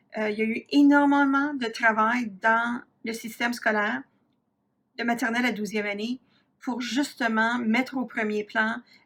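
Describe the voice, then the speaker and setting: The recording is very clean with a silent background as a woman speaks at a fairly slow pace with long, frequent pauses. Her pitch is fairly high and her intonation fairly even. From Ontario, Canada (Franco-Ontarian, south-central/southwest Ontario). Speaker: university professor, researcher. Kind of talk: lecture. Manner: frequent hesitations (euh).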